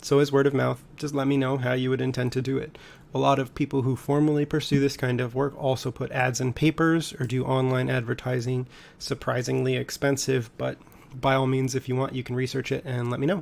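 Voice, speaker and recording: At a fairly quick pace, a man talks with medium pitch and monotone, flat intonation. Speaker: high school economics teacher. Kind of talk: recorded class tutorial. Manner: fast; casual.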